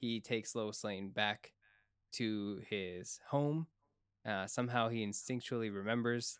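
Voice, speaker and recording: At a fairly slow pace, a man with a fairly low pitch and fairly even intonation speaks in an unremarkable speaking voice. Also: dry, close sound with no echo. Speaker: podcast host. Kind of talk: casual chat.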